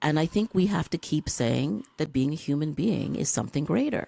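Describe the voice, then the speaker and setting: A man with a Canadian accent talks at a moderate pace, his fairly high voice showing lively intonation and vocal fry. The sound is dry and close with no echo. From Toronto, Canada. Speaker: podcast host and life coach. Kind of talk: interview conversation.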